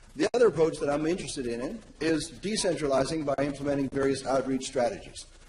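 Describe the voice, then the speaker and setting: A man with a fairly high pitch and ordinary pitch variation talks at a fairly quick pace, with noticeable background noise behind him. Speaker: academic presenter. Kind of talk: conference presentation. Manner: fast.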